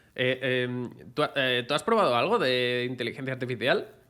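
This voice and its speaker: Bright and sharp in tone, a man speaks at a medium pitch and a moderate pace with fairly even intonation. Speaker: podcast host. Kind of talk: podcast interview host.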